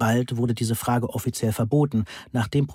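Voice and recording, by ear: A natural voice reading aloud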